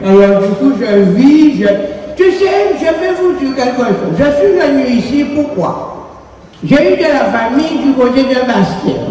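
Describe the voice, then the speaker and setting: A woman's high voice at a very slow pace, with very wide pitch swings, audible room echo and noticeable background noise. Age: 80s+. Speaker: senior attendee. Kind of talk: casual speech.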